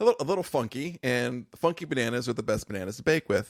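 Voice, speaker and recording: Lively intonation carries speech delivered at a very fast pace. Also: man. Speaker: podcast co-host. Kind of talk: casual chat. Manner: loud.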